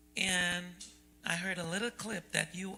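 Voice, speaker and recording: Over music in the background, a woman talks fairly slowly with a fairly low pitch and ordinary pitch variation. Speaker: event host. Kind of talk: panel moderation.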